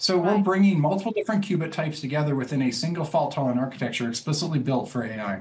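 With hardly any pauses, a man speaks at a very fast pace using lively intonation. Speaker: guest. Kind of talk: interview answer. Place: home room. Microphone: video call.

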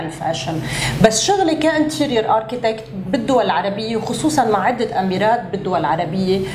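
Noticeable background noise behind a woman speaking at a moderate pace. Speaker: guest. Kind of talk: interview answer. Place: studio.

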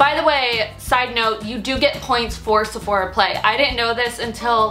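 A woman with faint music in the background. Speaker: beauty vlogger. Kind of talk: casual vlog chat. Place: home room.

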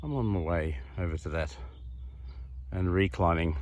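A somewhat breathy voice at a fairly slow pace. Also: man, dry sound with no echo. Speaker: vlogger. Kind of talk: casual vlog chat. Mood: relaxed, content. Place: open country. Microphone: phone near.

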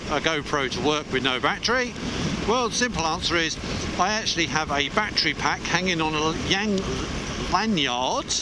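The man's voice sounds dry with no echo, while loud noise fills the background. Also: moderate pace. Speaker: motorcycle vlogger. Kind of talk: casual vlog chat. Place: motorbike. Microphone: helmet.

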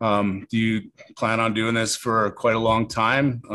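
A man speaks with a Canadian accent. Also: quiet background. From Canada, small-town Alberta (Carstairs); Alberta, Canada. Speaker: podcast host, MMA coach. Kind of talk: interview. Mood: casual, curious. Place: studio. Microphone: studio mic.

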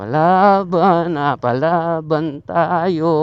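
A man at fairly high pitch with ordinary pitch variation. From Batangas, Philippines. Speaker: motorcycle vlogger. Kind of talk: casual vlog narration. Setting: outdoors riding a motorcycle. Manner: animated.

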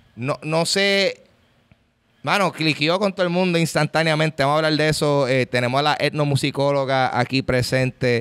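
A man with a Puerto Rican accent talks at a moderate pace, with ordinary pitch variation, against a quiet background. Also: fairly high pitch for a man, very even loudness. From Puerto Rico. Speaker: podcast host. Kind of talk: casual chat. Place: hall. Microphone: studio mic.

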